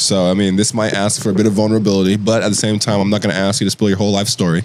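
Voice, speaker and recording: Over noticeable background noise, a man talks at a very fast pace in a fairly low pitch. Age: 20s. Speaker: podcast host. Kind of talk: casual chat.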